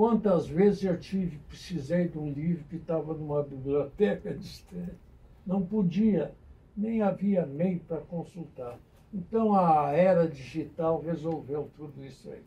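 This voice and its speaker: At a fairly slow pace, a man with a high, dark, mellow voice speaks with ordinary pitch variation and big swings in loudness. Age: 90s. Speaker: retired army colonel and historian. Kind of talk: radio interview. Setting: radio studio.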